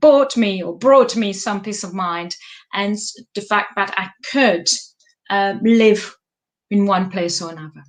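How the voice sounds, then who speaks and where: A woman speaks with a French accent. Her pace is fairly slow. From France. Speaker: life coach. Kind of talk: live stream monologue. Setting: live stream. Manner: halting.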